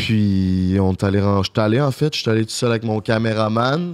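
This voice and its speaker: This man speaks with a Quebec accent. His voice has a fairly low pitch. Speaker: YouTuber and podcaster. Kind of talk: casual chat.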